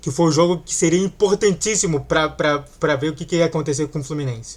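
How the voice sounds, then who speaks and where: Ordinary pitch variation in a fairly high-pitched male voice. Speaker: football fan YouTuber. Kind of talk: casual reaction commentary.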